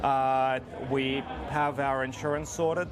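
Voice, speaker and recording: A man's fairly high-pitched voice with fairly even intonation, amid noticeable background noise and audible room echo. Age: 40s. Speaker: fire performer and community organiser. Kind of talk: interview.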